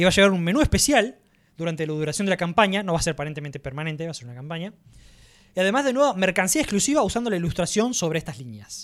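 On a very clean recording with a silent background, a man with a Rioplatense accent speaks very fast and animated at a high pitch, his pitch swinging very widely and his loudness rising and falling sharply. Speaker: podcast host. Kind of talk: casual chat.

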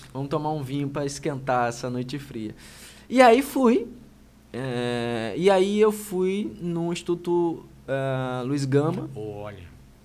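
A fairly high-pitched man's very slow, lively speech, with big swings in loudness and audible room echo. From Brazil, Itaperuna (Rio de Janeiro state). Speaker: human rights official and lawyer. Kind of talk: interview conversation. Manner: hesitant, frequent fillers.

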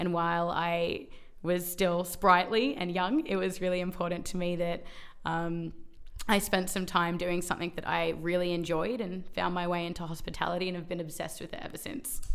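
Fairly even intonation from a woman with a fairly low pitch, at a moderate pace. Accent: Australian. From Melbourne, Australia. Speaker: workplace wellbeing advocate. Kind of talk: interview.

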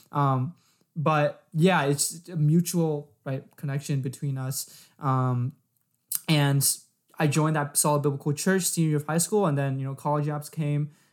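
An ordinary speaking voice with an American accent and fairly even intonation, on a very clean recording with a silent background. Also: man, fairly high pitch for a man. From San Diego, California. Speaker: podcast co-host, college student. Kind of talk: casual religious discussion.

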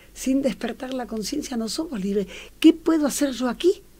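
This woman's high-pitched voice has a dark, mellow tone and lively intonation. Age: 70s. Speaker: social worker and logotherapist. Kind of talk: interview.

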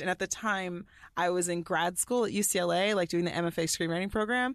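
A woman with an American accent and a fairly low pitch, a normal speaking voice at a moderate pace with ordinary pitch variation, on a very clean recording with a silent background. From US South, Allen, Texas. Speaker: TV writer and producer. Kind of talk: casual chat.

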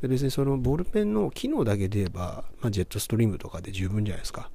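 A somewhat breathy man talks at a very fast pace with ordinary pitch variation. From Japan, Kobe. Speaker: podcast host. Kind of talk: motivational monologue.

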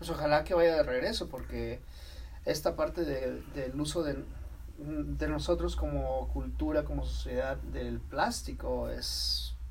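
His voice carries audible room echo along with noticeable background noise. The man delivers his words at a fairly slow pace. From Mexico. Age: 40s. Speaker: podcast co-host. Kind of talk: casual interview.

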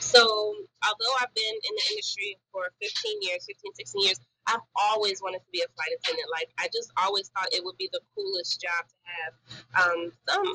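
At a moderate pace, a woman speaks in a dry, close sound with no echo. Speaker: flight attendant. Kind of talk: casual chat. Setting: hotel laundry room.

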